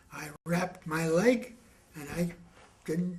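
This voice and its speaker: The man's voice sits high in pitch. There is audible room echo along with noticeable background noise. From western Canada, rural Alberta. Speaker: war veteran. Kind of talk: oral history interview.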